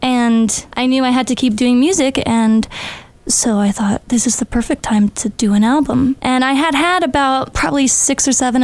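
This woman talks at a moderate pace with ordinary pitch variation. Her pitch is fairly high, and there is noticeable background noise. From Albuquerque, New Mexico. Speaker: singer-songwriter. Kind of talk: interview. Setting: studio.

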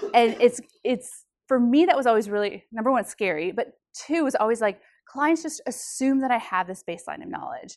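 A high-pitched woman with lively intonation at a fairly quick pace, against a quiet background. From South Dakota. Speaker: financial planner. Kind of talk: talk to students. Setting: university talk with student audience.

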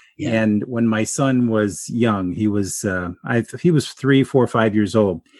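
Recorded dry and close with no echo against a quiet background, a man speaks in an unremarkable speaking voice at medium pitch with ordinary pitch variation. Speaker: podcast host. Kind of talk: interview, casual conversation.

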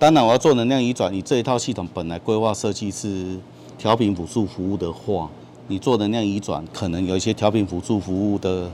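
A man talks at a fairly quick pace. His pitch is fairly low, with ordinary pitch variation. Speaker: power company renewable energy manager. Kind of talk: on-site technical explanation.

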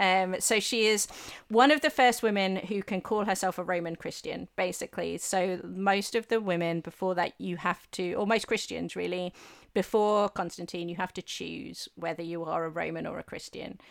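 In a very clean recording with a silent background, a woman speaks with an English accent. Her pitch is medium, her pace moderate, and her pitch variation ordinary. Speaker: historian and author. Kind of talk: casual interview chat.

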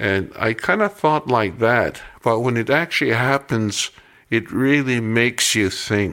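The voice has a bright, sharp tone, ordinary pitch variation, a fairly slow pace, and very even loudness on a very clean recording with a silent background. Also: man, medium pitch for a man. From Kainai First Nation, southern Alberta, Canada. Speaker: rancher. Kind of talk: interview. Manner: halting, many fillers.

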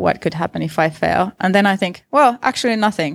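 With a Finnish accent, a woman speaks at a moderate pace. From Finland. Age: 30s. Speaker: visual artist. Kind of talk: interview. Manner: hesitant, with repetitions.

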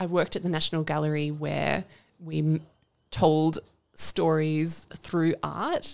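This woman talks at a very slow pace. She speaks with an Australian accent. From Canberra, Australia. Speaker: podcast co-host, environment centre deputy director. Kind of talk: casual interview chat. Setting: studio.

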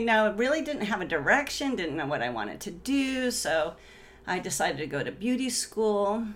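Very wide pitch swings from a woman, with audible room echo around her. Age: 50s. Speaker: entrepreneur and real estate agent. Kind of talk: casual interview. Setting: in the host's home.

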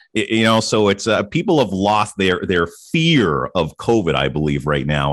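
Vocal fry runs through a man's fairly low voice, which swings very widely in pitch. He keeps a moderate pace and very even loudness, with hardly any pauses. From Ottawa, Canada. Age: 40s. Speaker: radio host turned podcaster. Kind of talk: casual chat. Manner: polished radio delivery.

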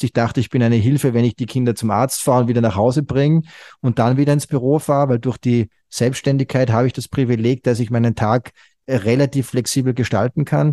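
A man speaks in a dark, mellow tone with fairly even intonation over a quiet background. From Austria, Salzburg. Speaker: founder of a fathers' online community. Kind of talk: interview.

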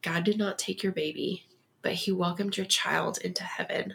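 A woman's fairly low voice in an American accent, with vocal fry, flat monotone intonation and a moderate pace. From Texas. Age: 30s. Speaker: guest sharing loss story. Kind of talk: interview.

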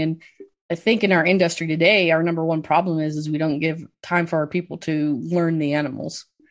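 With an American accent, a woman speaks at a fairly low pitch and a moderate pace. Her intonation is monotone and flat, over a quiet background. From US Midwest, southwest Michigan. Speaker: swine industry expert with a doctorate. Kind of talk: interview.

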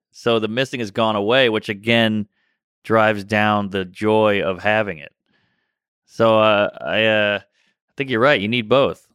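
A man with an American accent, fairly low-pitched, in a normal speaking voice, at a fairly slow pace, with fairly even intonation and big swings in loudness, on a very clean recording with a silent background. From US South, New Orleans (Treme). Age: 30s. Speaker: stand-up comedian. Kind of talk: casual chat.

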